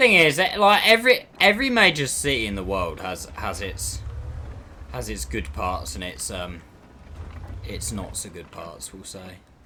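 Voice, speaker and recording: A man speaks with a London accent. His pace is moderate, and his loudness swings widely. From South East London. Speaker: video game streamer. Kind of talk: live gameplay commentary. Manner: casual, chatty.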